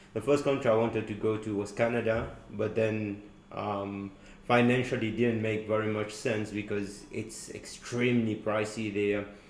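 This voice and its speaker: A man speaks at a moderate pace in a fairly low pitch, with monotone, flat intonation. Noticeable background noise can be heard. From Mauritius. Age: 20s. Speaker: university student. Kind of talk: casual chat.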